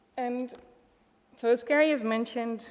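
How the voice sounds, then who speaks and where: Ordinary pitch variation, with a Dutch accent. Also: woman. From Netherlands. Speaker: wellbeing economy policy expert. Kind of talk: conference presentation.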